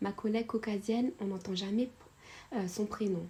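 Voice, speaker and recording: There is noticeable background noise. Through it, a woman speaks at medium pitch. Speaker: YouTuber storyteller. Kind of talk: storytime narration of a subscriber's story. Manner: casual, many hesitations and fillers.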